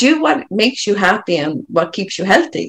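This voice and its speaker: A woman with an Irish accent and very wide pitch swings. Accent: Irish, lilting. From Ireland. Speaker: coach working with people. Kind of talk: podcast interview conversation.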